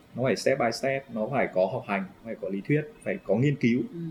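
Very fast and somewhat breathy, a man speaks at medium pitch. His intonation is lively. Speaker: triathlon coach. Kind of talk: casual interview.

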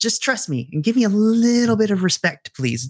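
The speaker is a man talking at a moderate pace. His intonation is lively. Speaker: math teacher. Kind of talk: casual chat.

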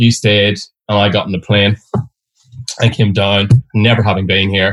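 A man speaks at a fairly quick pace in a somewhat breathy, fairly low voice, on a very clean recording with a silent background. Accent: Derry. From Northern Ireland, Derry. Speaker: advertising creative director. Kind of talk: casual interview.

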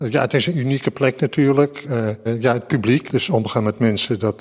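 A man's plain, everyday voice, medium in pitch, with fairly even intonation at a moderate pace. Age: 60s. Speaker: museum security guard. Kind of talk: interview.

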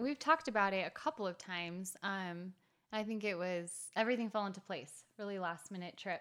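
A woman at a medium pitch, a normal speaking voice, fairly quick pace and ordinary pitch variation, in a very clean recording with a silent background. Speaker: co-host, canyon hiker. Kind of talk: casual podcast chat. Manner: playful, joking.

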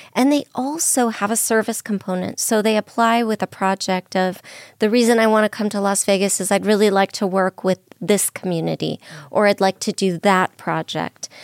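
A woman's unremarkable speaking voice with an American accent, medium in pitch, moderate in pace and fairly even in intonation, in a very clean recording with a silent background and a dry, close sound with no echo. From Southern California. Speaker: literary institute executive director. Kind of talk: radio interview.

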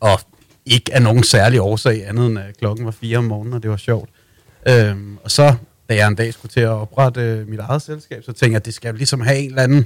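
Over a very clean recording with a silent background, a man talks at a fairly quick pace in an ordinary speaking voice with fairly even intonation. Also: medium pitch for a man. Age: 30s. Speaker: music PR agency owner. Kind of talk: interview. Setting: studio.

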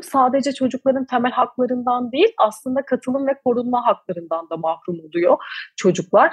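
Her pitch swings very widely as a woman talks. She keeps a moderate pace with hardly any pauses. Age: 20s. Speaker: climate activist, NGO founder. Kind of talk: interview. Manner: hesitant fillers.

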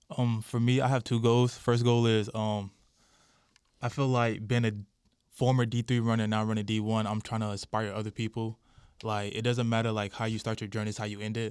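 Over a silent background in a very clean recording, a man with an American accent speaks at medium pitch in a monotone, flat way at a fairly quick pace. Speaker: college track athlete. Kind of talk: casual chat.

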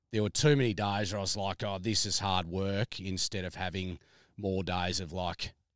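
A man's very deep, low voice at a moderate pace, in a dry, close sound with no echo, in a very clean recording with a silent background. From Melbourne, Australia. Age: 30s. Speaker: farmer. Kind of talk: casual chat. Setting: outdoors.

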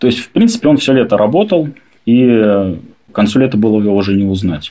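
A man talks in an unremarkable speaking voice at a fairly low pitch. His pace is moderate and his pitch varies in an ordinary way. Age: 30s. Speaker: adoptive father. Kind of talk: personal story interview.

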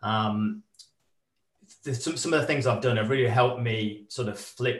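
A man's somewhat breathy voice at a medium pitch. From northern England. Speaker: adventurer and corporate speaker. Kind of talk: casual interview.

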